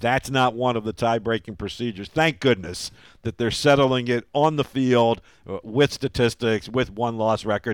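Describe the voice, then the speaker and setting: A man with a plain, everyday voice speaks at a moderate pace, medium in pitch with ordinary pitch variation. The sound is dry and close, with no echo. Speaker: play-by-play radio broadcaster and podcast host. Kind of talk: casual sports podcast chat.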